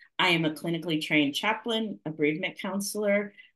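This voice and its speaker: In a quiet background, a woman with an American accent speaks with lively intonation. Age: 60s. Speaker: minister and life coach. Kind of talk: webinar presentation. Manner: hesitant with frequent ums.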